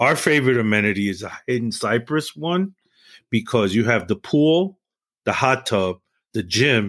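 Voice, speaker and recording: In a very clean recording with a silent background, a man with a medium-pitched voice and a New York accent talks at a moderate pace. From New York City, East Harlem. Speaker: retired building manager and musician. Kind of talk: casual chat.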